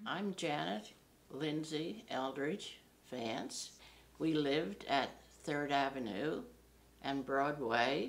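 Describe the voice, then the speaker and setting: With an American accent, a woman speaks at a very slow pace with long, frequent pauses. Her pitch is very deep and low, yet her intonation is lively. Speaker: local resident interviewee. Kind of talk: oral history interview.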